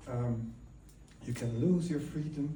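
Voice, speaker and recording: A man with a strong Dutch accent speaks in a room with audible echo. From Netherlands. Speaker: guest speaker at ceremony. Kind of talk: public speech. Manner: halting.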